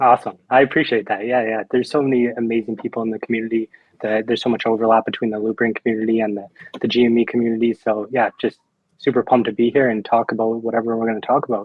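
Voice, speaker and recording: Speaking at a very fast pace, a man uses monotone, flat intonation. He talks with a Canadian accent. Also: medium pitch for a man. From Canada. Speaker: crypto company spokesperson. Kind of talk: interview.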